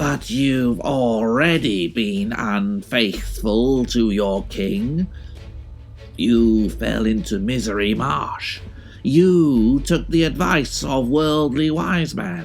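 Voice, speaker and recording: Someone uses a put-on character voice with a low pitch at a very slow pace. There is clear background noise. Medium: read story. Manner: roaring, furious.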